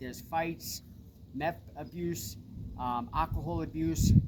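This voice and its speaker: A man with a Long Island accent talks in a fairly high voice. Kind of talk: personal testimony.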